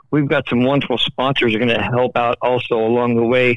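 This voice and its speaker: A man speaks at a medium pitch with fairly even intonation. His is an unremarkable speaking voice. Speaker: festival stage manager. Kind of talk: casual phone chat. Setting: phone call.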